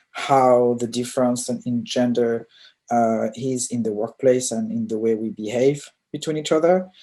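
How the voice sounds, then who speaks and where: The speaker talks with a French accent. The pace is moderate. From France. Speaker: diversity consultant and UX researcher. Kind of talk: presentation.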